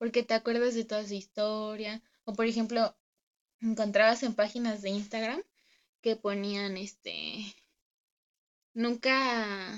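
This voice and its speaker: Her intonation stays monotone and flat as the woman talks at a fairly slow pace. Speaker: podcast co-host. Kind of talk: casual chat.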